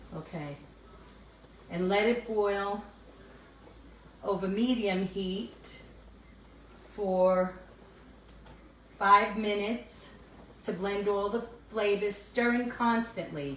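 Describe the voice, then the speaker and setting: In a New York accent, a woman speaks very slowly at a medium pitch with fairly even intonation and long, frequent pauses, with audible room echo around her. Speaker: cooking vlogger. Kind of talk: casual cooking tutorial. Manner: chatty, casual with fillers.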